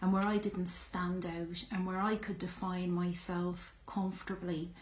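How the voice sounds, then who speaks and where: Over audible room echo, a woman with a strong Irish accent speaks in a somewhat breathy voice. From Ireland. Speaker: YouTuber. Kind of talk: personal vlog monologue. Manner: hesitant, many fillers.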